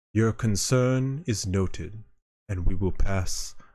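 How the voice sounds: Quiet surrounds a natural reading voice.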